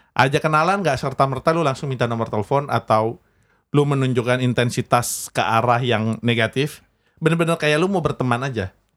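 An unremarkable speaking voice from a man, medium in pitch, with ordinary pitch variation and a fairly quick pace. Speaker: podcast host. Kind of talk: casual banter, adult humor podcast. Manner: joking, playful.

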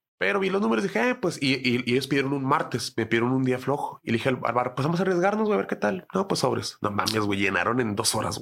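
Speaking with a Mexican accent, a man races along at a very fast pace with very wide pitch swings and hardly any pauses. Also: medium pitch for a man. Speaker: stand-up comedian. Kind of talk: casual chat.

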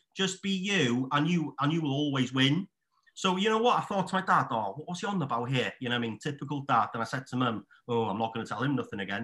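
A man with a Welsh accent speaks at a very fast pace in a fairly high voice. His tone is bright and sharp, with very wide pitch swings. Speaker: estate agent. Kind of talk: casual chat.

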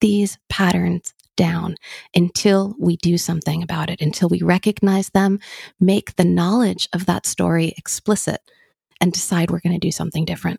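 In a dry, close sound with no echo, a woman speaks at a fairly low pitch and moderate pace, her tone dark, mellow and somewhat breathy, her intonation fairly even. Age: 40s. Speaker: therapist and podcast host. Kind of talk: casual chat.

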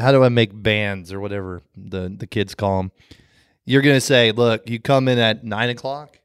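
A man speaks in an ordinary speaking voice at a medium pitch, with ordinary pitch variation and a fairly quick pace. The recording is very clean, with a silent background. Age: 40s. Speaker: podcast co-host. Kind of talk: casual chat.

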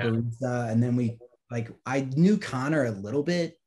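A somewhat breathy, dark, mellow voice with an American accent. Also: man. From Virginia, US. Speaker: musician and graphic designer. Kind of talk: casual chat.

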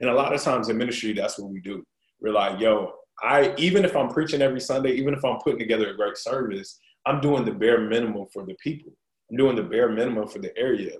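A man with an American accent speaks at a very fast pace and medium pitch, his intonation lively and his loudness swinging widely. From US South, Fayetteville, North Carolina. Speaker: pastor. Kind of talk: casual interview.

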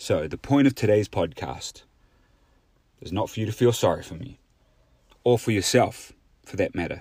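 Somewhat breathy medium-pitched speech from a man with a New Zealand accent, with lively intonation, a moderate pace, long and frequent pauses and big swings in loudness, on a very clean recording with a silent background. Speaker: podcast host. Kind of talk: solo motivational monologue.

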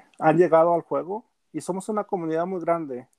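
A man with a high pitch speaks in a dark, mellow tone against a quiet background. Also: dry, close sound with no echo. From Mexico, Gómez Palacio, Durango. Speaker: football fan and gaming page administrator. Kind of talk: casual sports chat.

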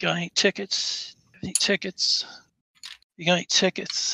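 This is a put-on character voice with a raspy sound. It moves at a moderate pace. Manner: slurring, repetitive.

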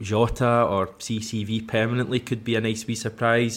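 A medium-pitched male voice with a Scottish accent, flat and monotone in intonation, at a moderate pace. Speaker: football podcast host. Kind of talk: casual chat.

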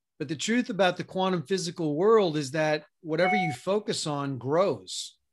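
Against a quiet background, a man with an unremarkable speaking voice, fairly high in pitch, talks at a fairly slow pace with lively intonation. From US, New York City. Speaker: health and mindset coach. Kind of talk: podcast interview.

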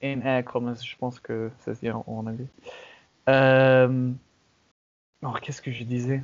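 A man speaks at a very slow pace with long, frequent pauses. His medium-pitched voice stays monotone and flat. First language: English (speaking French). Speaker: podcast host. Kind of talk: casual chat. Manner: halting.

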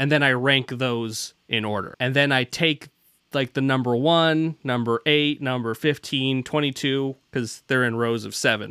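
In a very clean recording with a silent background and a dry, close sound with no echo, a man with an American accent speaks fairly slowly at medium pitch with a bright, sharp tone. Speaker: podcast host. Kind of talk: casual chat. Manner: joking, rambling.

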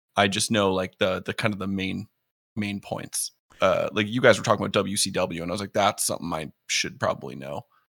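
A plain, everyday voice from a man, fairly low in pitch and fairly quick, with ordinary pitch variation, in a very clean recording with a silent background. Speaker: Twitch streamer. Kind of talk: casual chat.

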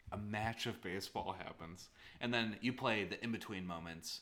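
Bright and sharp in tone, a man with an American accent speaks with ordinary pitch variation. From US East Coast. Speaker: game designer and podcast co-host. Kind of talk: casual chat. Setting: in person, same room. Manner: animated, laughing often.

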